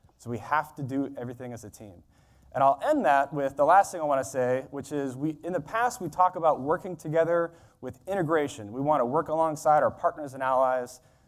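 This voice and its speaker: A man with an American accent and a normal speaking voice, fairly high in pitch, with ordinary pitch variation, big swings in loudness and a fairly quick pace. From United States. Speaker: conference speaker on defence technology. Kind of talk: conference keynote speech. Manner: conversational, with filler words.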